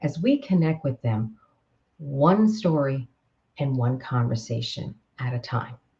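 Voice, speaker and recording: A woman with an American accent has a very deep, low pitch and a dark, mellow, somewhat breathy tone. She speaks fairly slowly with lively intonation and long, frequent pauses. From Queens, New York. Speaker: author and communication coach. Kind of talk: author presentation to camera. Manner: upbeat, humorous.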